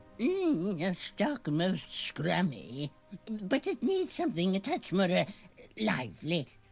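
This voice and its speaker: The put-on character voice sits at a middle pitch and moves at a fairly slow pace. Faint music plays in the background. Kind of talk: storybook witch voice. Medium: game stream. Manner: chirpy, grandmotherly, rhyming.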